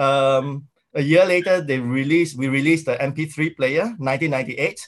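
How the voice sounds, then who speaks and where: A man with a Singaporean accent speaks at a fairly quick pace, his fairly high pitch showing ordinary variation. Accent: Singaporean English (Singlish). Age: 40s. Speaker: tech company founder. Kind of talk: interview. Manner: hesitant, many fillers.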